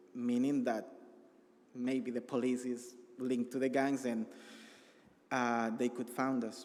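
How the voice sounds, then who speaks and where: Man with a Salvadoran accent, medium pitch, fairly slow pace, monotone and flat intonation, long and frequent pauses. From El Salvador. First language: Spanish. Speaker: refugee. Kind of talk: testimony. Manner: halting.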